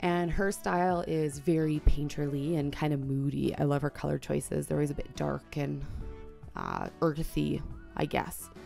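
A woman talks at a moderate pace while faint music plays behind her. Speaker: art journaler. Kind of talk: casual voice-over flip through. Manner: enthusiastic. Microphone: studio mic.

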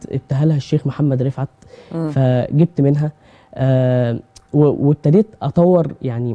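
The delivery has a moderate pace and ordinary pitch variation. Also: man. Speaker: guest. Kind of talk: interview answer. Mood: modest, friendly. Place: studio.

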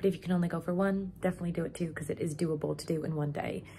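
A woman speaks at a very fast pace. Light background noise runs beneath her. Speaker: vlogger. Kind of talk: casual vlog chat. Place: home room. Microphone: phone near.

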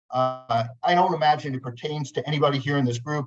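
Speaking at a fairly quick pace, a man with an American accent has a fairly high pitch, fairly even intonation, and a somewhat breathy sound. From New Jersey. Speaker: lawyer. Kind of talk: webinar presentation. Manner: fast.

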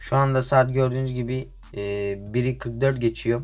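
A man's medium-pitched voice with music in the background. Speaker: gaming youtuber. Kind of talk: casual gameplay commentary.

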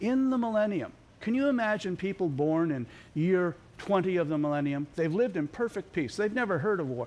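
The man's pitch swings very widely. He keeps to a moderate pace. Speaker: TV guest. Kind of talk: interview answer. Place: studio.

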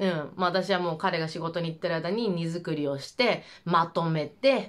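The background stays quiet. A woman talks in a fairly low voice. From Japan. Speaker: vlogger. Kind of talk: casual monologue. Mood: relaxed, personal storytelling. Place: home room.

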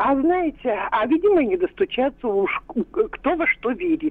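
Noticeable background noise is heard behind a woman. She speaks at a moderate pace. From Russia, Kirov. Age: 70s. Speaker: retired biologist, caller. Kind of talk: listener testimony. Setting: phone call.

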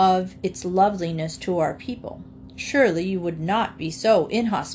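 The pitch moves in an ordinary way. The speaker is reading aloud in a natural voice.

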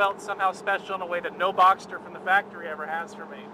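Very fast speech over noticeable background noise. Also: dry sound with no echo. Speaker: car journalist. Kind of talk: casual conversation commentary. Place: car.

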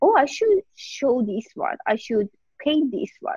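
A woman with a Persian accent speaks at a fairly slow pace, her voice dry with no echo against a quiet background. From Iran. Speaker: painter; guest. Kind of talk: interview. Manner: halting. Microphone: video call.

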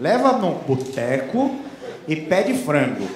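Audible room echo and light background noise around a male voice. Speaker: stand-up comedian. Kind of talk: stand-up comedy routine. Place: stage. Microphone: handheld.

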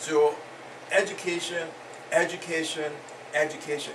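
Noticeable background noise behind a man at a fairly high pitch and a fairly quick pace. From Africa. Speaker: immigrant father and community elder. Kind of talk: group discussion. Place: home room. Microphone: camera far.

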